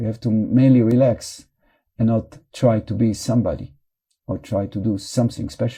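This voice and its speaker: A man with a non-native accent speaks at a moderate pace in a medium pitch, his tone dark and mellow and his intonation monotone and flat. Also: very clean recording, silent background. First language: not English. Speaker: meditation teacher. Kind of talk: guided meditation.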